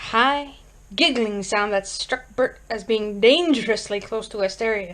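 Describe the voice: Someone reads aloud plainly. Their pitch moves in an ordinary way.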